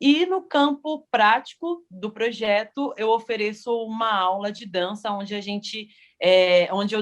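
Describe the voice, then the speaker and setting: A woman speaks in an ordinary speaking voice. Her pitch is fairly high and her pace fairly slow. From São Paulo, east zone. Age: 30s. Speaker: funk dancer and researcher. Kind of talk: panel self-introduction.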